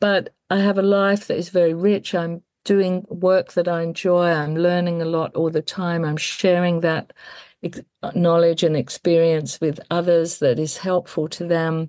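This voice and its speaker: A woman speaks at a fairly slow pace in a monotone, flat intonation. The background is quiet. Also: fairly low pitch for a woman. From England. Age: 60s. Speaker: death care worker and celebrant. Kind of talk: interview conversation.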